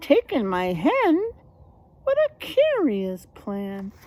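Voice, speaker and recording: In a put-on character voice, a woman talks very slowly at a high pitch. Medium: read story. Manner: fretful, complaining.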